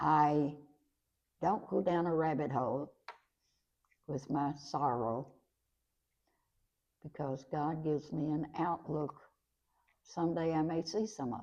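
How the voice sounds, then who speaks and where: A woman with a very deep, low pitch and a dark, mellow tone speaks at a fairly slow pace. Her loudness swings widely, and she pauses long and often. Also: ordinary pitch variation. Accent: Kentucky. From Kentucky, Lincoln County. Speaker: retired schoolteacher. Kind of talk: interview reminiscence. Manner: halting.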